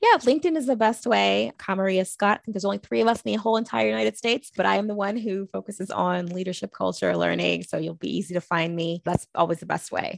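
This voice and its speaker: Very fast speech from a woman with hardly any pauses and a dry, close sound with no echo. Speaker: HR and leadership development consultant. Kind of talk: interview. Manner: passionate.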